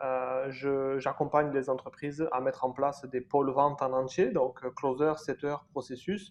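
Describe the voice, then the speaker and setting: A man has a normal speaking voice at a fairly high pitch with fairly even intonation. He goes at a fairly slow pace with hardly any pauses. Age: 30s. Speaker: sales agency founder. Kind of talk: interview.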